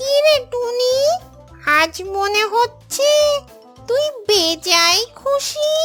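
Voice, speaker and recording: A cartoonish character voice, female-sounding and extremely high in pitch, speaks very slowly over clear music in the background. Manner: sly, wheedling.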